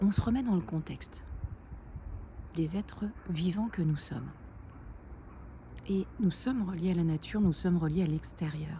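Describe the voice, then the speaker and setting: A soft-spoken woman talks with ordinary pitch variation. She leaves long, frequent pauses. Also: fairly low pitch for a woman, moderate pace. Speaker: naturopath and wellness vlogger. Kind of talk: casual vlog tutorial. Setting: outdoors.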